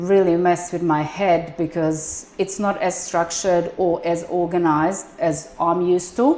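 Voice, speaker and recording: With a non-native accent, a woman speaks at a fairly slow pace. Her pitch is fairly low and her intonation fairly even. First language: not English. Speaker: business manager and accountant. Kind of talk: shop tour.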